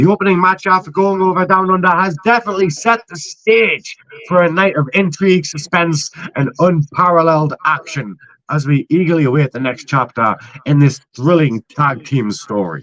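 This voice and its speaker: A man speaks at a moderate pace and a fairly high pitch with lively intonation. The sound is dry and close, with no echo. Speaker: wrestling show narrator. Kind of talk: casual chat; scripted narration. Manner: loud. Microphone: echo through another participant's mic.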